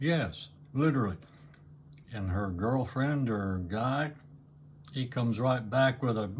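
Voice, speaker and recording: Somewhat breathy, a man speaks at a fairly slow pace with ordinary pitch variation and long, frequent pauses. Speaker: YouTuber. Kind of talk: casual monologue.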